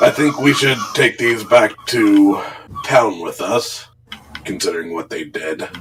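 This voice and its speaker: Using a put-on character voice, a man sounds raspy at medium pitch and a fairly slow pace. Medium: actual play.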